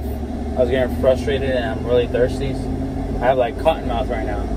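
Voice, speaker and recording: A man amid loud background noise. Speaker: car parts vlogger. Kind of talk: casual vlog chat. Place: car. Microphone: phone near.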